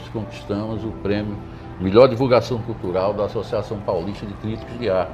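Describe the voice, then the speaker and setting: Music plays in the background and the room echo is audible. A man with a medium pitch talks at a fairly quick pace. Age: 70s. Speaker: poet and retired literature professor. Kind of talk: interview. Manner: hesitant, repeats words.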